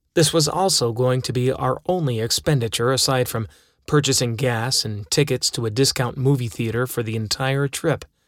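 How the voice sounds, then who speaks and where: The audio is very clean against a silent background. An ordinary speaking voice proceeds at a moderate tempo, its pitch varying normally. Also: man, medium pitch for a man. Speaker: audiobook narrator. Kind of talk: audiobook narration of a first-person memoir, wry and dramatic.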